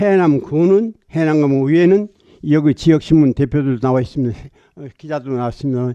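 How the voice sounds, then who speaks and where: A man's fairly high-pitched voice with a dark, mellow tone, at a fairly quick pace over a quiet background. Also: big swings in loudness. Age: 80s+. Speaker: petitioner representative, solar farm investor. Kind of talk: formal petition presentation to council committee. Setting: county council committee hearing. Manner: blunt, forceful.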